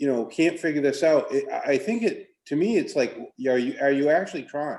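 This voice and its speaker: A man speaks with lively intonation. His pitch is high. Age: 60s. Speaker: school board member. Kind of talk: committee meeting discussion.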